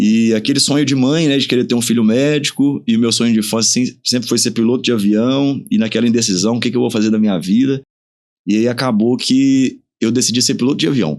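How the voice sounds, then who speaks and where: A man's plain, everyday voice at a medium pitch, fairly quick pace, very even loudness and ordinary pitch variation. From interior of Pará, Brazil (until 15), then Minas Gerais. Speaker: dentist and clinic owner. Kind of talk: podcast interview.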